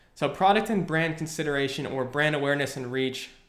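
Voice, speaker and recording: With a quiet background and audible room echo, a man speaks at a fairly high pitch with ordinary pitch variation. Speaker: online marketing educator; online ads instructor. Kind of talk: screen-recorded tutorial. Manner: fast; casual, filler words. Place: home room.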